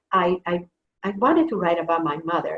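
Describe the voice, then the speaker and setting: Her pitch sits in the medium range, with a moderate pace. This woman talks in a Spanish accent. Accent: Spanish accent, noticeable. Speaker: author. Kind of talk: author talk. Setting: video call.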